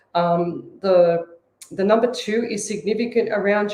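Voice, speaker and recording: With an Australian accent, a woman talks at a medium pitch. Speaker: psychic medium. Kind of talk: psychic reading on radio. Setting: live radio show.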